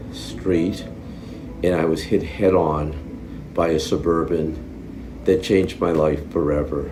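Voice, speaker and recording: A man's very deep, low voice at a very slow pace with ordinary pitch variation, plus audible room echo and noticeable background noise. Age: 70s. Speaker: brain injury survivor. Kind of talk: interview testimony. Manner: halting.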